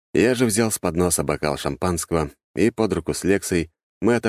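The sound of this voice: An unforced reading voice over a quiet background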